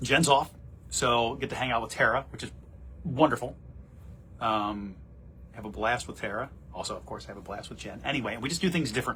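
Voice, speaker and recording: A man's medium-pitched voice with a bright, sharp tone and vocal fry, fairly quick yet with long, frequent pauses, big swings in loudness and ordinary pitch variation. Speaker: TV morning show anchor. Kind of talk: casual livestream chat. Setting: office, live on social media.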